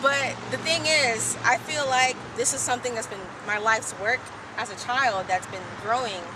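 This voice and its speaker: Through noticeable background noise, a woman speaks at a high pitch and moderate pace with ordinary pitch variation. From Haiti, raised in the US. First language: Haitian Creole. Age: young. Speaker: aspiring author. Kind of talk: interview. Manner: many fillers, halting.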